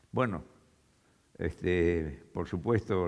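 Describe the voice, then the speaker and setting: A man speaks over a quiet background. His pitch rises and falls in an ordinary way. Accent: Argentine. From Argentina, interior (small town). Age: 90s. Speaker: retired chemical engineer; speaker. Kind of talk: talk to an audience. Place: stage. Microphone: headset.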